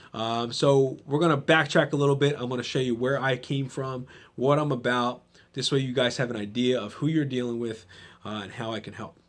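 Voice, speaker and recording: Against a quiet background, a man talks at medium pitch and a fairly quick pace with fairly even intonation. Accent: New Jersey. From New Jersey, Trenton. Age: 30s. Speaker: podcast host and gym owner. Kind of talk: motivational monologue. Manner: casual, conversational with fillers.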